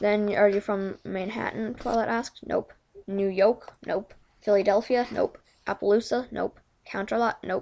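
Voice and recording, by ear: Fairly even intonation from a natural voice reading aloud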